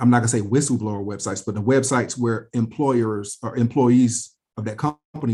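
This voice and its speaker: Somewhat breathy and dark, mellow in tone, a man of medium pitch talks at a fairly quick pace. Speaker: personal finance channel host, interviewer. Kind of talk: casual interview.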